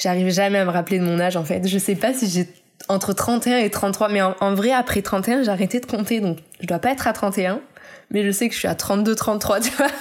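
A woman's normal speaking voice, medium in pitch, with ordinary pitch variation at a moderate pace. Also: very even loudness. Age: 30s. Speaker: illustrator. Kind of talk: interview.

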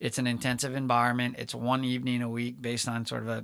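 A man's medium-pitched voice at a very fast pace, monotone and flat. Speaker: startup center director and veteran. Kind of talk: casual interview. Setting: studio. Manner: measured cadence.

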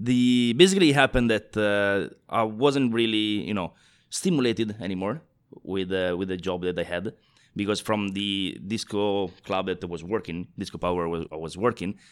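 With an Italian accent, a man speaks at a moderate pace and a fairly low pitch, varying it in an ordinary way, in a very clean recording with a silent background. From northeast Italy. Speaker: bartender and global brand ambassador. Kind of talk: casual interview chat.

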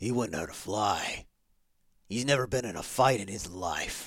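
Putting on a gruff character voice, a man speaks fairly slowly at a fairly low pitch with lively intonation. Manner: gruff, irritated, confrontational.

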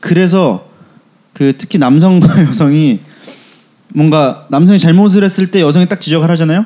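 A man's fairly high voice, dark and mellow in tone, at a fairly slow pace. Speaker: podcast host. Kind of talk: casual chat.

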